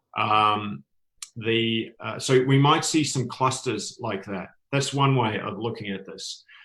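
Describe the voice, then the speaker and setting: Someone with a New Zealand accent speaks at a very slow pace in a bright, sharp tone. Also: man, medium pitch for a man, ordinary pitch variation, big swings in loudness. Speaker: tourism industry expert, panelist. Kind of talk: panel discussion. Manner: halting, many fillers.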